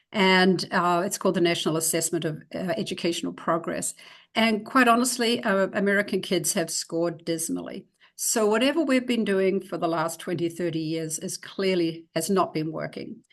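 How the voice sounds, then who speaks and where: A woman speaks in a New Zealand accent at a fairly low pitch. Her pitch varies in an ordinary way, and her pace is moderate. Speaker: educator, reading expert. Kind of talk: presentation; interview. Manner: hesitant fillers.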